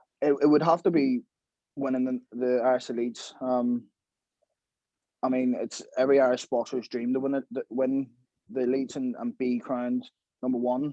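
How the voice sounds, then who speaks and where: A man in a Belfast accent, medium in pitch with a dark, mellow tone, monotone with flat intonation, at a moderate pace with long, frequent pauses, in a dry, close sound with no echo. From Belfast, Northern Ireland. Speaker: professional boxer. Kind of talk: podcast interview.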